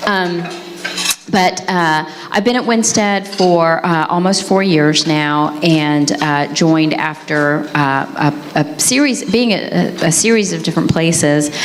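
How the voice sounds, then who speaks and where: The woman's pitch is fairly low, with ordinary variation and very even loudness. Room echo is audible, and the background noise is noticeable. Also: fairly slow pace. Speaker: corporate restructuring lawyer, conference panelist. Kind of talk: panel self-introduction. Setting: conference stage with audience and mic. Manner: halting, many fillers.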